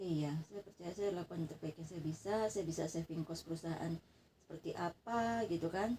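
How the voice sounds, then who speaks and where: This woman's voice is somewhat breathy and fairly low in pitch. Her pitch varies in an ordinary way. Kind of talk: casual private conversation. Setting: dark bedroom, informal home recording.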